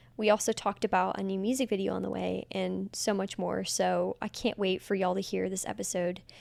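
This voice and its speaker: A woman speaks at a fairly quick pace in a very clean recording with a silent background. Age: 20s. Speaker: podcast host. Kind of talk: podcast intro.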